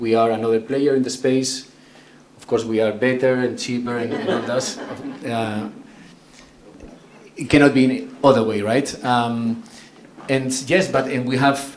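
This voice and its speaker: The speech has fairly even intonation, long, frequent pauses and big swings in loudness. Noticeable background noise and audible room echo are present. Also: man, medium pitch for a man, moderate pace. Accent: strong Spanish. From northern Spain, San Sebastian. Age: 40s. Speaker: tech company executive. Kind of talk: conference talk. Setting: stage with audience.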